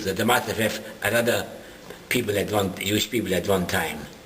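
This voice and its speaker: A man talks at a fairly quick pace. The room echo is audible, and so is noticeable background noise. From Germany (Dessau, Leipzig). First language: German. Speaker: Holocaust survivor. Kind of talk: interview testimony. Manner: halting.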